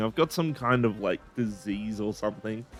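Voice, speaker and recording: Background music accompanies the voice. Its pace is moderate and its pitch varies in an ordinary way. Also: man. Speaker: video game streamer. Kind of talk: casual gameplay commentary. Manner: casual, filler-heavy.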